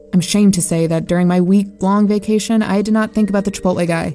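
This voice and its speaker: Very fast speech from a woman at medium pitch, fairly even in intonation, with music in the background. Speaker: narrator. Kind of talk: dramatic horror narration, first person. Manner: tense, hushed, building dread.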